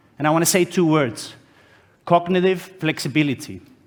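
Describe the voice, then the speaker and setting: A loud, high-pitched man's voice with a Greek accent at a moderate pace. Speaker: conference speaker, HR consultant. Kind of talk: conference talk.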